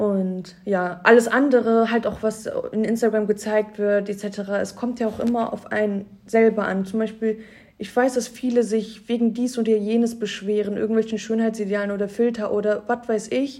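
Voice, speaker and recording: A woman's fairly high voice, flat and monotone, at a moderate pace. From Cologne area, Germany. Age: 20s. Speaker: Instagram influencer. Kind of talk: casual interview. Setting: office studio.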